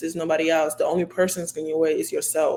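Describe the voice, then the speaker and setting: A woman speaks over noticeable background noise. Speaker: college basketball player. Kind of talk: interview.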